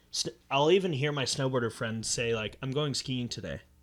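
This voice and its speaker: Here is a man in a plain, everyday voice at medium pitch with an American accent. He keeps a moderate pace and ordinary pitch variation. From southern California. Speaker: podcast host. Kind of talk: casual chat.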